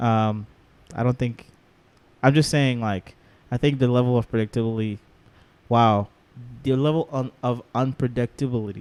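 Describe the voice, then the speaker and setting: Moderately paced talk with long, frequent pauses, fairly even intonation and a dry, close sound with no echo. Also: man, medium pitch for a man. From outside the US. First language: not English. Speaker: podcast co-host. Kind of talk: casual chat. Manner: halting.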